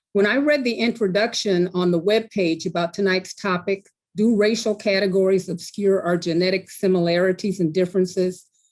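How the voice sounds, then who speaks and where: A woman speaks in a normal speaking voice, medium in pitch, fairly quick and with hardly any pauses. Her intonation is fairly even and her loudness very even. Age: 60s. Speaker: patient advocate. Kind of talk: prepared talk.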